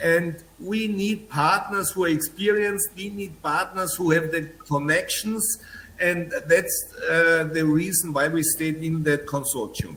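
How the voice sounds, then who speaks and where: A man with a high voice speaks at a fairly slow pace, with audible room echo and noticeable background noise. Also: ordinary pitch variation. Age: 60s. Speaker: real estate developer. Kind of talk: press conference answers.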